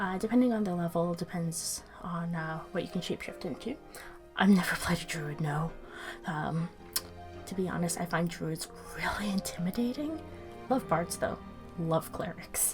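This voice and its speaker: Soft-spoken and fairly low in pitch, a woman talks at a moderate pace with long, frequent pauses while music plays in the background. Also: ordinary pitch variation. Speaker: dungeon master. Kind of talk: ASMR roleplay, friendly conversation on voice chat. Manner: quiet, hushed.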